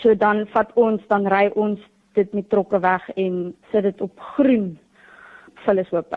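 Intonation stays fairly even in a normal speaking voice. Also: woman, medium pitch for a woman. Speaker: young entrepreneur, student. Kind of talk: radio interview.

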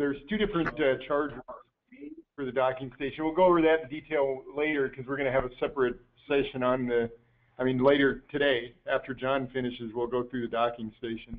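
This man has an ordinary speaking voice with medium pitch. He talks at a fairly quick pace with ordinary pitch variation. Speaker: product specialist answering technical questions. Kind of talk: technical webinar Q&A. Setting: online webinar call.

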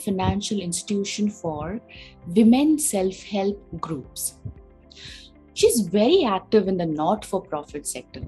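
A woman talks at a fairly slow pace. Faint music plays in the background. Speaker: guest. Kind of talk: introduction of a guest, read biography. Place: home room. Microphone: phone near.

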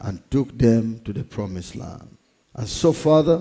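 Lively in intonation yet dark and mellow in tone, a man speaks at a fairly slow pace over a quiet background. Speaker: pastor. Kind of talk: prayer before sermon. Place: church. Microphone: headset.

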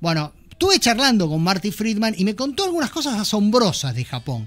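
Heard over a quiet background, the speaker uses a Rioplatense accent with very wide pitch swings. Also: man. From Argentina. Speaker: podcast host. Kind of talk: casual chat. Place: studio. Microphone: studio mic.

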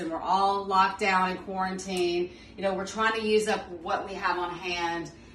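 With audible room echo and light background noise, a woman speaks at a moderate pace with monotone, flat intonation. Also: hardly any pauses. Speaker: home cook host. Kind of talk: cooking tutorial. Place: kitchen. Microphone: phone near.

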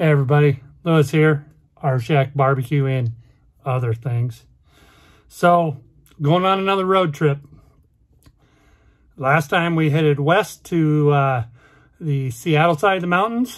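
Against a quiet background, a man speaks at a fairly slow pace with long, frequent pauses and ordinary pitch variation. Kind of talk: casual vlog chat. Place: car. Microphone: phone near.

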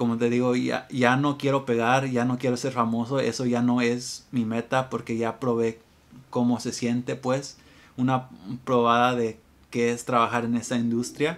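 The pace is fairly slow. Intonation stays monotone and flat. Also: man, medium pitch for a man. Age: 20s. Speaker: musician and music YouTuber; guitar teacher. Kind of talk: casual vlog monologue. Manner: unscripted, hesitant. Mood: reflective, relaxed. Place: home room.

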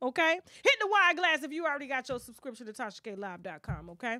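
A woman speaks in a raised, projected voice with a bright, sharp, animated tone, fairly quickly, with very wide pitch swings and big swings in loudness. The sound is dry with no echo against a quiet background. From US South, rural. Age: 40s. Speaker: celebrity gossip YouTuber. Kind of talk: casual chat. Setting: live stream. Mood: confrontational, animated.

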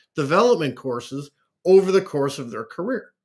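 Against a quiet background, a man with a Canadian accent speaks with lively intonation. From Canada. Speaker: executive leadership coach; guest. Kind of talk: interview. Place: home room. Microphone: webcam.

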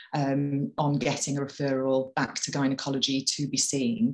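A woman's very deep, low voice with a Welsh accent, at a fairly slow pace against a quiet background. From Wales. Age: 30s. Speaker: patient campaigner. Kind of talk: personal testimony. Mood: earnest, calm. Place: home room. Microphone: webcam.

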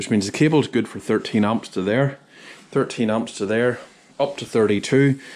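A man speaks with a Northern Irish accent. His pace is fairly slow. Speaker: sound engineer. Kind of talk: vlog tutorial. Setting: equipment store. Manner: casual, halting.

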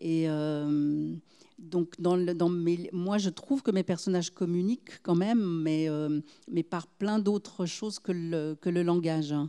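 A woman's dark, mellow voice, fairly low in pitch with ordinary pitch variation, at a very slow pace. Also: quiet background. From Geneva, Switzerland. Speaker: novelist; guest. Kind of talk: literary discussion. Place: stage. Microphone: handheld.

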